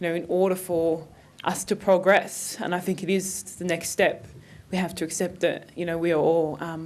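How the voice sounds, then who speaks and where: An Australian accent, monotone and flat in intonation, at a moderate pace. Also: woman. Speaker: conference panelist. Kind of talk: panel talk. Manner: hesitant, many fillers.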